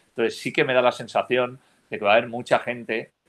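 Flat, monotone intonation delivered at a fairly quick pace. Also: man. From Spain, Valencia region (Almussafes). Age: 40s. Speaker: sports journalist, remote work entrepreneur. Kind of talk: podcast panel discussion.

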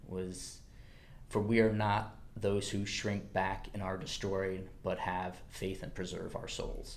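A fairly slow, fairly low-pitched male voice. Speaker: future missionary. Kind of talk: personal testimony.

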